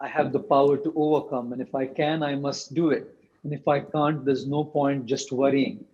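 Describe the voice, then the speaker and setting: At a moderate pace, a man with an Indian accent talks in a fairly high pitch. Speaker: monk and motivational speaker. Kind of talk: interview closing remarks. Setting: video call. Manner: formal.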